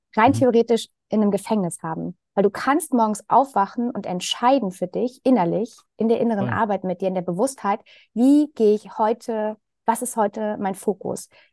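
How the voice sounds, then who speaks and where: An unremarkable speaking voice from a woman, fairly high in pitch with ordinary pitch variation, at a moderate pace against a quiet background. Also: dry, close sound with no echo. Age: 40s. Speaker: sales coach. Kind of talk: casual chat.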